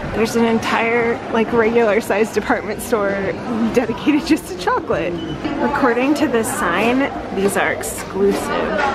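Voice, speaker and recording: Over crowd noise in the background, a woman talks at a moderate pace with ordinary pitch variation. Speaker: travel vlogger. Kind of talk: casual vlog chat. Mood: amused, impressed. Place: shop. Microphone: phone near.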